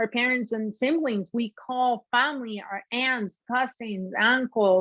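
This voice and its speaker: A woman speaks with a Peruvian accent. Her intonation stays fairly even. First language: Spanish. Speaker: shoe designer, former sports anchor. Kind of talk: interview conversation.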